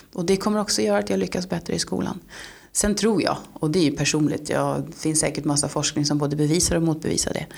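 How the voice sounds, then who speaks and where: A woman speaks very fast in a very deep, low voice with vocal fry, her pitch swinging very widely. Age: 40s. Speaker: local politician. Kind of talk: interview.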